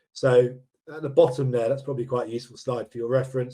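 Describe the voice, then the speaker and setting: A man with a dark, mellow tone talks at a medium pitch. His voice is somewhat breathy. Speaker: property investment company director presenting webinar. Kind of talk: webinar presentation. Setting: online webinar. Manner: fast; hesitant, many fillers.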